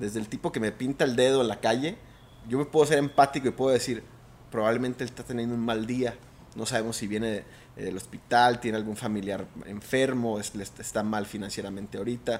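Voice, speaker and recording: A man speaks at a fairly quick pace with fairly even intonation, his pitch in the medium range. It is a plain, everyday voice. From Mexico, Mazatlán (Sinaloa). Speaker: trader and former pro golfer. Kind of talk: interview conversation.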